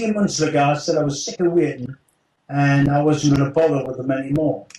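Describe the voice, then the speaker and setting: Somewhat breathy and very fast, a man talks at a fairly high pitch with ordinary pitch variation. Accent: British. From United Kingdom. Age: 70s. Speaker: retired special forces operative. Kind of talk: interview answer.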